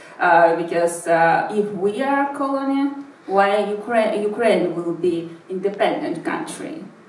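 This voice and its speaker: Over noticeable background noise and audible room echo, a woman at a medium pitch speaks with very wide pitch swings. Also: fairly slow pace. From St Petersburg, Russia (born in Buryatia). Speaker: investigative journalist and activist. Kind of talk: talk. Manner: halting, many fillers.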